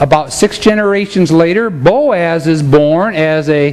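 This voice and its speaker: Over noticeable background noise, a man speaks with lively intonation. His pitch is high. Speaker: preacher. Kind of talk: sermon. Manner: animated.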